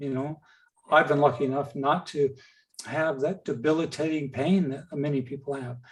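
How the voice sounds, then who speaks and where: A man with a fairly high pitch sounds somewhat breathy, speaking at a moderate pace. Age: 60s. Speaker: patient speaker. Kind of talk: webinar Q&A. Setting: video call.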